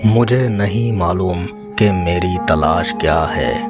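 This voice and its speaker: With music in the background, a man speaks at a very deep, low pitch with ordinary pitch variation. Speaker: voiceover artist. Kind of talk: poetry reading. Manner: meditative.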